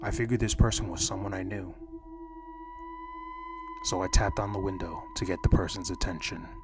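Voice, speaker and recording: A soft-spoken man with a calm tone, fairly quick pace and long, frequent pauses, over music in the background. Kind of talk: horror story narration, soft-spoken ASMR reading. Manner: soft-spoken, calm.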